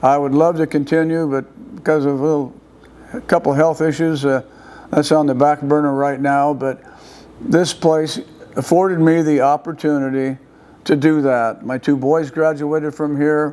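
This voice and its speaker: A man with a fairly high pitch and a dark, mellow tone speaks at a moderate pace with fairly even intonation. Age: 80s+. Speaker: retired football coach. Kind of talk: interview. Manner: halting.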